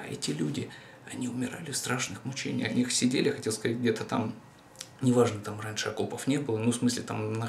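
A medium-pitched man talks at a very fast pace with fairly even intonation. Audible room echo and light background noise surround his voice. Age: 30s. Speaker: video blogger; vlogger. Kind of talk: monologue to camera. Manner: halting, repetitive. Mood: reflective, serious. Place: home room. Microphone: camera far.

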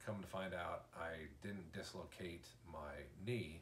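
With vocal fry and a very deep, low pitch, a man speaks very slowly amid light background noise and audible room echo. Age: 40s. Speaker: vlogger, injured father; vlogger. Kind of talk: casual video diary. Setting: hospital room. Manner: halting, many fillers. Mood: calm, matter-of-fact. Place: home room. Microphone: camera far.

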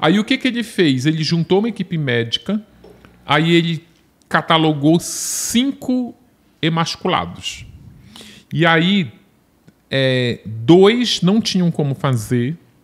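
Speaking at a very slow pace with long, frequent pauses, a man uses a high pitch and very wide pitch swings. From Brazil, Belém do Pará; Pará, Brazil. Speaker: journalist and true-crime author; journalist. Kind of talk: casual chat. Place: studio. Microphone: studio mic.

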